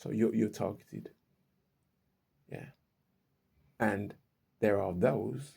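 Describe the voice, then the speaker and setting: A man speaks in a fairly low pitch with a dark, mellow tone. His voice shows vocal fry at a moderate pace. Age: 60s. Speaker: vlogger and self-published author. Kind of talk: casual monologue vlog. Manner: halting, frequent repetitions.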